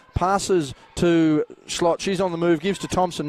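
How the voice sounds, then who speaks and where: The recording is dry and close with no echo, yet noticeable background noise is present. A man talks at a high pitch. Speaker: basketball commentator. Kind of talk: live sports play-by-play commentary.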